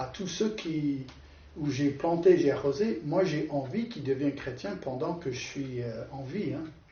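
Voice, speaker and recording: A man with a non-native accent, fairly high in pitch, lively in intonation, at a fairly slow pace, with audible room echo. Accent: foreign accent in French. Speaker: preacher. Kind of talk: sermon. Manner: halting.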